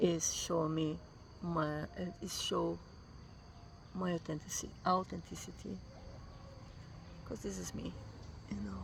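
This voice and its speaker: In a Brazilian accent, a woman with a very deep, low pitch talks at a fairly slow pace, her pitch swinging very widely. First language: Portuguese. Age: 50s. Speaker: vlogger. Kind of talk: casual vlog monologue. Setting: morning self-recorded travel vlog. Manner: halting, with fillers and repetitions.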